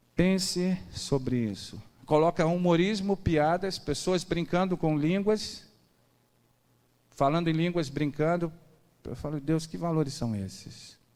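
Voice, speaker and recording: Pausing long and often, a man talks at a fairly slow pace in a high pitch with ordinary pitch variation. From Rio de Janeiro, Brazil. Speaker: preacher. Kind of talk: sermon. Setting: church service. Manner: animated.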